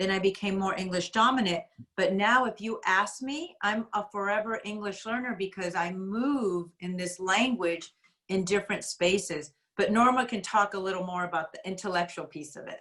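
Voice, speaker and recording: With a Spanish accent, a woman talks at a moderate pace and shows ordinary pitch variation. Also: medium pitch for a woman. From USA, Spanish-speaking home. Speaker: school administrator, workshop moderator. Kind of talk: parent workshop discussion.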